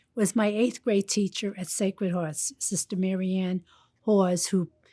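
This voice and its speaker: A woman with a New York accent, dark and mellow in tone, fairly even in intonation and fairly slow, in a very clean, silent, dry and close recording with no echo. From Brooklyn, New York. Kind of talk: interview.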